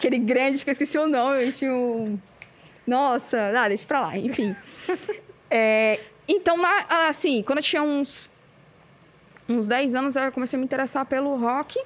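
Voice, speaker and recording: This woman's voice is high in pitch and keeps a moderate pace. She leaves long pauses, and often. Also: ordinary pitch variation. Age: 30s. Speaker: metal band vocalist. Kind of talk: casual chat. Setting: cultural centre recording with production crew.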